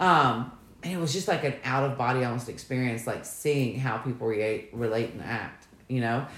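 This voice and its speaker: Amid noticeable background noise and audible room echo, a woman with a very deep, low pitch speaks at a moderate pace in an animated tone with ordinary pitch variation. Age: 40s. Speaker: podcast co-host. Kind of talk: casual chat.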